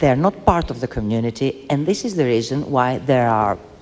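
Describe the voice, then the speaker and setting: Over noticeable background noise, a woman with a non-native accent speaks at a very deep, low pitch, her voice swinging very widely in pitch. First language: not English. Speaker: debate panelist. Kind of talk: heated debate. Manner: halting.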